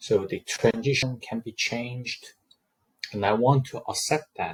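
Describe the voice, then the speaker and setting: Heard in a dry, close sound with no echo, a man speaks very slowly at medium pitch, somewhat breathy, with ordinary pitch variation. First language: not English. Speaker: student presenter. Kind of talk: class presentation with screen demo. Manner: hesitant, frequent um fillers.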